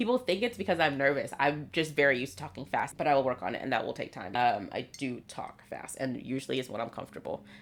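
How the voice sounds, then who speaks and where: A woman's very deep, low voice with lively intonation, very fast pace and hardly any pauses. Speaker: writer and YouTuber. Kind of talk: casual vlog talk. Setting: home video filming.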